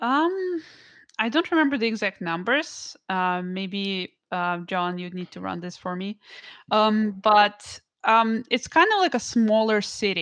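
A woman with a Russian accent, fairly high in pitch, at a fairly slow pace with lively intonation and big swings in loudness, against a quiet background. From Siberia, Russia. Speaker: musician and artist. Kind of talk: interview. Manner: hesitant, many fillers.

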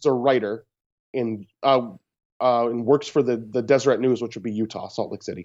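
This man has an ordinary speaking voice at a medium pitch. He talks at a fairly quick pace with fairly even intonation. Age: 30s. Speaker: podcast guest, host's brother. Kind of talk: casual chat. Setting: Skype call.

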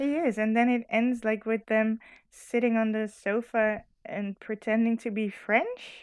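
A woman speaks in a Dutch accent at a fairly slow pace. Her pitch is fairly high and her intonation fairly even. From Netherlands. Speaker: podcast guest. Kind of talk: casual chat.

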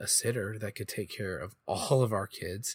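A man's somewhat breathy voice with a fairly low pitch. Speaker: podcast co-host. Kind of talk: casual chat.

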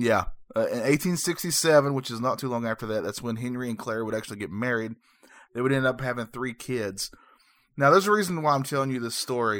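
A man at a very fast pace, medium in pitch, with ordinary pitch variation. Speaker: podcast co-host. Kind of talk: casual chat. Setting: remote recording. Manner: halting, filler-heavy.

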